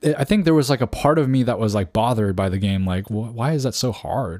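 A man's unremarkable speaking voice with a Canadian accent, medium in pitch, fairly quick and lively in intonation, on a very clean recording with a silent background. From Canada. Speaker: podcast host. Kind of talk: solo podcast monologue.

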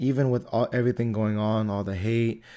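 An American-accented man at medium pitch, with a dark, mellow tone, monotone flat intonation, and a very clean recording over a silent background. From US, Antioch. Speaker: podcast host. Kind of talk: casual solo podcast monologue.

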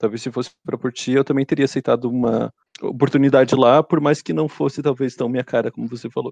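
A man talks at a very fast pace with vocal fry, medium pitch and fairly even intonation. The sound is dry and close, with no echo. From Brazil. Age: 30s. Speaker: engineer. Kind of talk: casual interview. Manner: halting, repeats words.

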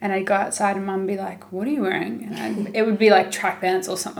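Over noticeable background noise, a woman speaks at a medium pitch with a New Zealand accent. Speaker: podcast host. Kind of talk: casual interview chat.

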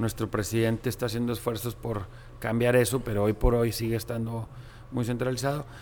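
The speaker talks at a moderate pace in a Monterrey accent. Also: man. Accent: northern Mexican (Monterrey). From Mexico, Monterrey. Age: 40s. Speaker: business executive. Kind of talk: interview.

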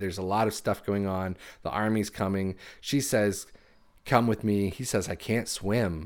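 A very clean recording with a silent background: a man with a normal speaking voice, fairly low pitch, moderate pace and fairly even intonation. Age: 30s. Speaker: podcast host and author. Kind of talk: casual chat.

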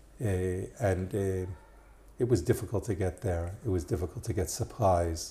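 This man's pitch is very deep and low. His tone is dark and mellow and somewhat breathy. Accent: slight Israeli. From New York. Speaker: immigrant sharing his life story. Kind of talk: interview conversation. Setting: in-person recording in Jerusalem. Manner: halting, many fillers.

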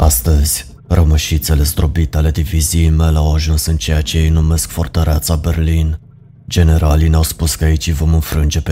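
Through noticeable background noise, a man speaks in a very deep, low pitch with monotone, flat intonation. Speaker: horror story narrator. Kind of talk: ghost story telling, first-person scripted horror narration. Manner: slow, hushed and ominous, building dread with grave, deliberate pacing.

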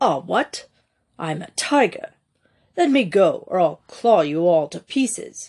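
A put-on character voice, raspy and fairly high in pitch, speaks at a fairly slow pace. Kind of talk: clipped. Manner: threatening, defiant.

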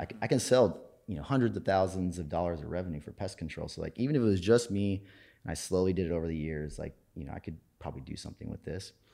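A man with an American accent talks at a very fast pace, his very deep, low pitch carrying a dark, mellow tone and lively intonation. His loudness swings widely on a very clean recording with a silent background. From Minnesota, small farm town. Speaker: business founder. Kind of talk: interview. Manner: casual.

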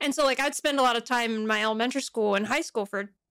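The recording is very clean, with a silent background. A woman with fairly high pitch talks very fast in an animated tone. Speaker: podcast co-host. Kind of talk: casual chat. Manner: animated, laughing often. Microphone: poor audio, broken software.

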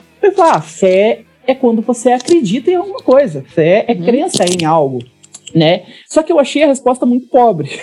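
Over noticeable background noise, a man talks at a moderate pace in an extremely high pitch with very wide pitch swings. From Brazil, interior of Paraná. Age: 30s. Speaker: startup consultant. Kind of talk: interview.

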